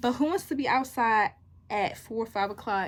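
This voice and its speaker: A woman's voice with ordinary pitch variation, amid noticeable background noise. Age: young. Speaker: college student vlogger. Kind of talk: casual vlog chat. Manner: fast.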